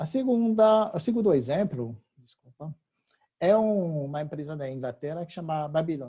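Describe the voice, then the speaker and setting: A man's fairly high voice with a French accent, dark and mellow in tone, at a moderate pace, with lively intonation and big swings in loudness. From France. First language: French (speaking Portuguese). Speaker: technology company representative. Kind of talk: webinar presentation. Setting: webinar. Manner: halting, many fillers.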